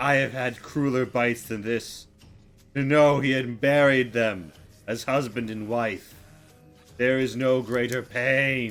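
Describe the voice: A man speaks fairly slowly in a put-on character voice at a medium pitch, with hissing and faint music in the background.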